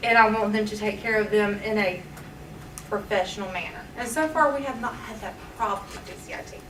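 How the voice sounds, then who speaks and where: Fairly quick speech from a woman with a Southern US accent, fairly high in pitch with ordinary pitch variation and big swings in loudness, plus audible room echo and noticeable background noise. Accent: country, Southern. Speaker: teacher and nurse. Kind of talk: public comment at board meeting. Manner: earnest, pleading.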